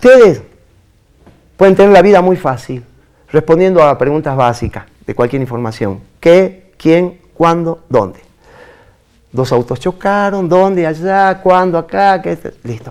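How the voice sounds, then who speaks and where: This man speaks at a high pitch and a fairly slow pace. His intonation is lively, broken by long, frequent pauses. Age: 60s. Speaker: veteran journalist. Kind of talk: interview.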